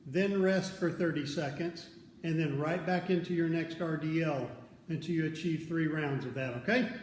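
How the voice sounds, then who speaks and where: A man at a high pitch and moderate pace with ordinary pitch variation, audible room echo and noticeable background noise. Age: 50s. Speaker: fitness coach. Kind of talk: workout instruction.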